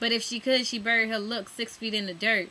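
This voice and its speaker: The speaker has an American accent and talks at a fairly quick pace. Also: woman. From Staten Island, New York. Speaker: spoken word poet. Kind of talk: spoken word poetry performance. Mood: pained, emotional. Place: home room. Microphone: webcam.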